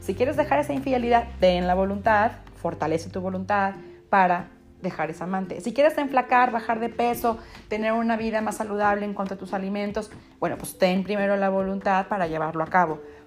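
Moving at a fairly quick pace, a woman speaks at a medium pitch with ordinary pitch variation. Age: 30s. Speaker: podcast host, faith and self-improvement speaker. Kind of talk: monologue giving advice. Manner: animated.

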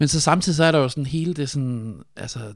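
Ordinary pitch variation in a somewhat breathy male voice. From Denmark, Funen (Nyborg). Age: 40s. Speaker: sound designer. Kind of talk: casual chat.

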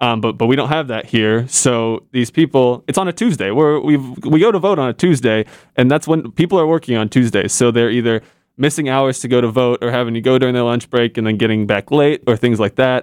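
A man with an ordinary speaking voice and an American accent talks fairly quickly at a medium pitch with ordinary pitch variation, in a dry, close sound with no echo. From Indiana. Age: 20s. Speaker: university student, voter outreach organizer. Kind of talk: casual podcast discussion.

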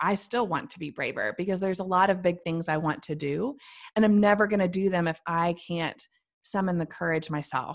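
A woman with an American accent speaks at a fairly low pitch with ordinary pitch variation in a very clean recording with a silent background. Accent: Midwestern US with a slight Southern tinge. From central Missouri. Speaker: business owner and podcaster. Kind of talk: casual interview chat.

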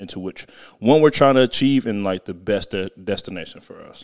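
In an unremarkable speaking voice with an American accent, a man speaks at a moderate pace with ordinary pitch variation on a very clean recording with a silent background. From Southern California. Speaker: podcast co-host. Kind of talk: casual chat.

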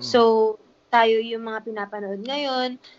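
Her voice is fairly high in pitch. This woman's pitch moves with ordinary variation. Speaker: influencer and business owner. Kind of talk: casual interview. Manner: animated.

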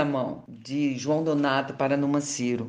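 A woman speaks very slowly, and noticeable noise can be heard behind her. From Paraíba, Brazil. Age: 70s. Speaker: singer and psychoanalyst. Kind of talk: interview.

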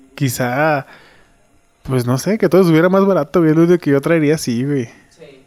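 A man speaks at a moderate pace in a fairly high voice with ordinary pitch variation. His loudness swings widely, and he takes long, frequent pauses. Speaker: podcast host. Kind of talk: casual chat. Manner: animated.

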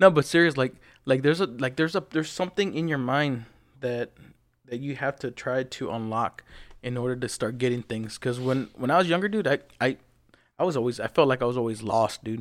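An ordinary speaking voice from a man, medium in pitch with ordinary pitch variation, in a very clean recording with a silent background. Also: fairly quick pace. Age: 30s. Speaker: podcast co-host. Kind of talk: casual chat. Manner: laughs often.

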